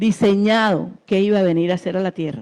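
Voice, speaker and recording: A woman with an unremarkable speaking voice, medium pitch, lively intonation and a moderate pace. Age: 60s. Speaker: churchgoer giving testimony. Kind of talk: testimony.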